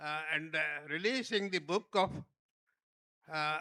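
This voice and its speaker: A man's bright, sharp tone and fairly even intonation, on a very clean recording with a silent background. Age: 90s. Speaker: former health minister, chief guest. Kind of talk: speech at book launch. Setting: hall with audience. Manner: halting, many fillers.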